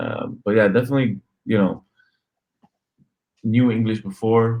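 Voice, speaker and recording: Speaking at a moderate pace, a man uses a medium pitch with monotone, flat intonation. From Lebanon. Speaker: real estate wholesaler. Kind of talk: interview. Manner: halting, many repetitions.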